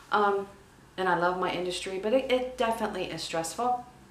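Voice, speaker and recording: Audible room echo and noticeable background noise accompany a woman speaking at a moderate pace with ordinary pitch variation. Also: long, frequent pauses. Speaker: vlogger, travel industry worker. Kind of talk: casual vlog monologue.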